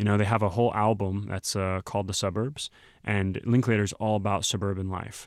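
Speaking with a Texan accent, a man with a fairly low pitch moves at a fairly quick pace in a monotone, flat delivery. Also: very clean recording, silent background. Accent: Texan American English. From Texas. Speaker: podcast host. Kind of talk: casual chat.

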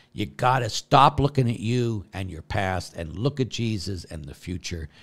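A man speaks with lively intonation and some vocal fry on a very clean recording with a silent background. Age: 60s. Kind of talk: q&a livestream with prayer.

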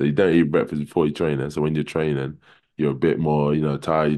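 A man's dark, mellow tone at a very deep, low pitch. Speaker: basketball team captain. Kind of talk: casual chat.

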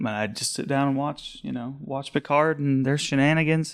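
At a fairly quick pace, a man with an American accent speaks in an ordinary speaking voice at a medium pitch. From Colorado eastern plains. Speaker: library security monitor. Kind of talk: casual chat.

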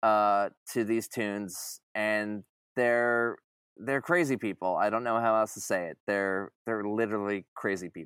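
At a fairly slow pace, a man with a normal speaking voice and an American accent talks in a medium pitch, the sound dry and close with no echo. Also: very clean recording, silent background. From Long Island, New York. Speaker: t-shirt artist and music fan. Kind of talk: casual chat. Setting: studio.

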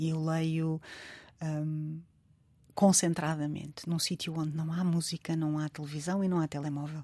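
A woman's very deep, low voice, dark and mellow, fairly slow and monotone, in a very clean recording with a silent background. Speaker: writer. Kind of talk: interview.

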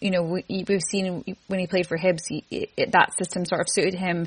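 Monotone, flat delivery from a woman at medium pitch, somewhat breathy, in a dry, close sound with no echo. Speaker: football fan guest. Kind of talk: casual football discussion.

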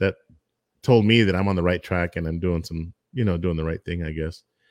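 On a very clean recording with a silent background, a man with an American accent speaks at a very deep, low pitch with ordinary pitch variation, in a dry, close sound with no echo. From Texas, El Paso. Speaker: barbecue food truck owner and YouTuber. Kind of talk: casual interview chat.

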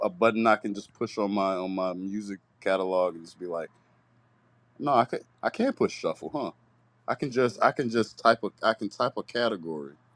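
A man with an unremarkable speaking voice, fairly low-pitched, at a fairly quick pace with ordinary pitch variation and big swings in loudness, in a dry, close sound with no echo and a quiet background. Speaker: returning co-host. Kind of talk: casual chat. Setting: live stream.

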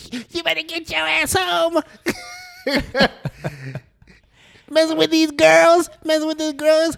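A put-on character voice, with its high pitch, shouts at a very slow pace. Long pauses come often. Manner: screaming, scolding.

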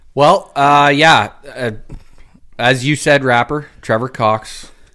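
On a very clean recording with a silent background, a man with a Canadian accent speaks in a bright, sharp tone. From Ontario, Canada (Uxbridge). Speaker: farmer. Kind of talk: casual chat.

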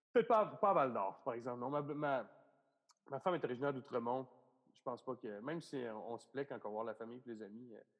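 A man talks at a fairly quick pace in a medium-pitched voice with ordinary pitch variation. His loudness swings widely. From Quebec, Bas-Saint-Laurent region. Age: 30s. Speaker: comedian. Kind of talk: casual chat.

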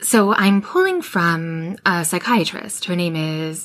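Here a woman speaks with a slight Canadian accent at a fairly low pitch. Her pitch variation is ordinary and her pace fairly slow. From Western Canada. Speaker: intuition podcast host. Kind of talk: solo monologue about intuition. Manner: warm conversational, informal.

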